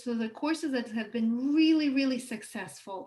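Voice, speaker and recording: In a non-native accent, a woman speaks with a high pitch and ordinary pitch variation. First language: not English. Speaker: online course teacher. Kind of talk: live workshop lecture. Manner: hesitant fillers, self-corrections.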